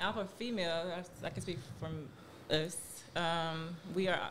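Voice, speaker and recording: A woman speaks at a fairly low pitch, with fairly even intonation. Noticeable background noise and audible room echo fill the recording. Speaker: podcast co-host and entrepreneur. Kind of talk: casual chat.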